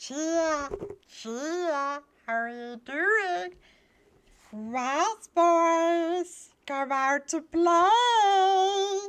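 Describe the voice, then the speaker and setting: A woman's squeaky, put-on character voice, extremely high in pitch and very slow, on a very clean recording with a silent background. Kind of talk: stream redeem voice impression. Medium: game stream. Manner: playful, exaggerated cuteness.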